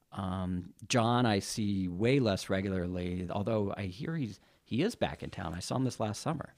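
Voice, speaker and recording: A man with an American accent uses an ordinary speaking voice and a fairly low pitch. He keeps a moderate pace with ordinary pitch variation and hardly any pauses. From Carson City, Nevada. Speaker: rock drummer. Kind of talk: interview.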